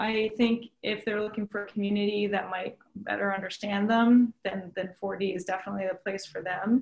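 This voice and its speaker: In a Canadian accent, a woman with a medium-pitched voice talks at a moderate pace with hardly any pauses and monotone, flat intonation. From Ontario, Mohawk territory (Tyendinaga). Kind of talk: interview. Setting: virtual studio, remote.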